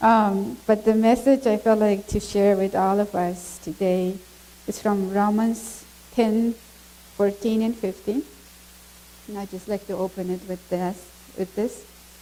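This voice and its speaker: Over noticeable background noise, a woman with a Mongolian accent talks fairly slowly at a medium pitch, using fairly even intonation and long, frequent pauses. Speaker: missionary speaking at a church. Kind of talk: testimony. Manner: halting.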